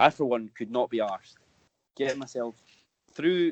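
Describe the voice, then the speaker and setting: Speaking with a Scottish accent, a man has a medium pitch and lively intonation. The sound is dry and close, with no echo. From Scotland. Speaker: football podcast co-host. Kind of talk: casual chat.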